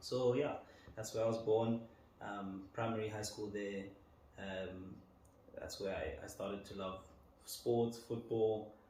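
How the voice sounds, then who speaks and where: A man's fairly low, monotone voice, flat in intonation, at a fairly slow pace with long, frequent pauses and audible room echo. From Botswana, Gaborone. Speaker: data analyst. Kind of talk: interview conversation. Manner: hesitant, many um fillers.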